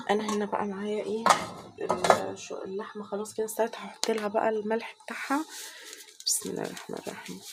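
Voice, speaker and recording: A woman with an Egyptian accent over noticeable background noise. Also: moderate pace. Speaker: cooking channel host. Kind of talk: cooking tutorial. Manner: casual, chatty.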